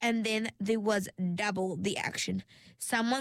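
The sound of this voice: An unforced reading voice keeps its intonation fairly even.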